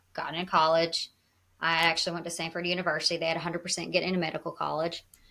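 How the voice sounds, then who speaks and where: In a Southern US accent, a woman rattles along at a very fast pace, her fairly low voice bright and sharp but her intonation monotone and flat. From US South. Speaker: wellness advocate. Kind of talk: podcast interview.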